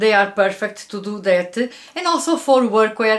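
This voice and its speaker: Fairly slow speech in a Portuguese accent. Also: woman. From Portugal. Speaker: fashion YouTuber. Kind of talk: product review. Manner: frequent filler hesitations.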